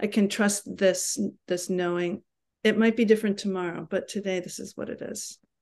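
This woman has an American accent and an ordinary speaking voice at a medium pitch. Her intonation is fairly even and her pace moderate. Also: quiet background. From New York City. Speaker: yoga teacher. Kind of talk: casual chat. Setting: video call.

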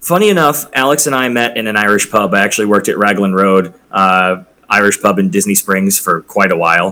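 A man's unremarkable speaking voice, fairly low in pitch, at a fairly quick pace, with very even loudness and ordinary pitch variation. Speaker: bartender and former hotel bellhop. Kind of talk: casual chat. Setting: video call.

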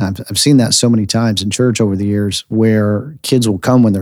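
A man with an American accent uses a normal speaking voice and ordinary pitch variation on a very clean recording with a silent background. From United States. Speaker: pastor and podcast host. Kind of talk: sermon-style podcast teaching.

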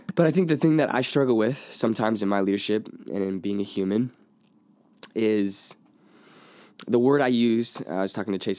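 With an unremarkable speaking voice, a man talks at a fairly quick pace and fairly low pitch, with ordinary pitch variation. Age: 20s. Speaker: youth pastor and podcast co-host. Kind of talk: casual chat.

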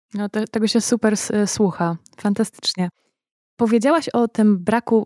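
A woman speaks with a fairly high pitch and a dark, mellow tone at a fairly slow pace. The sound is dry and close with no echo, and her pitch variation is ordinary. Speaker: podcast host. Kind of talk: interview, intro and outro reading.

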